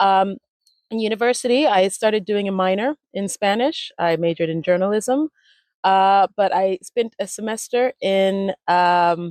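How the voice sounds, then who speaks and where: A woman with an American accent speaks at a fairly slow pace and medium pitch, with ordinary pitch variation. The sound is dry and close, with no echo. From US Midwest (Ohio), early childhood in Miami. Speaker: language retreat founder, communication strategist. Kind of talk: interview, personal story. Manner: casual, with many fillers.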